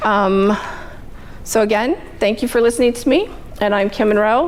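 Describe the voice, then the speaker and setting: Over noticeable background noise, a woman talks with a fairly high pitch and ordinary pitch variation. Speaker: bookkeeper. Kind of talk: business networking presentation. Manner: fast.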